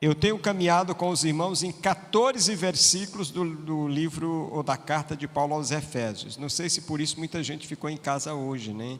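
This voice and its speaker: A man's fairly high voice, ordinary pitch variation, hardly any pauses, and noticeable background noise. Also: moderate pace. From Piauí, Brazil. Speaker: pastor. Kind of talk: sermon.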